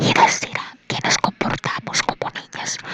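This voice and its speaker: Whispering at a fairly slow pace amid noticeable background noise. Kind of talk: whispered ASMR audiobook reading, sleep story. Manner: whispered, soft.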